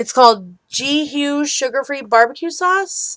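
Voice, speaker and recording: A woman mumbles at a fairly slow pace, her pitch swinging very widely. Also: very clean recording, silent background. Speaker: vlogger. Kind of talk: casual vlog update and Q&A. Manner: mumbling; chatty, many fillers.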